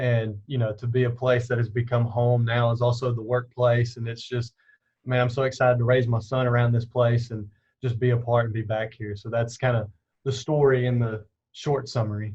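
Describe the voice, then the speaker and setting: In a Southern US accent, a man with a medium pitch talks in monotone, flat intonation, his voice somewhat breathy. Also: fairly quick pace. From US South, Alabama (Dothan). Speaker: campus minister. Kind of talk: interview.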